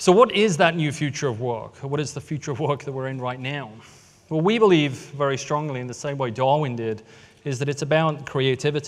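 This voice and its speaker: With an American accent, a man talks at a fairly quick pace, his fairly high pitch varying in an ordinary way. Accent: British with American tinge, mid-Atlantic. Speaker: tech company storyteller. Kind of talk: conference talk.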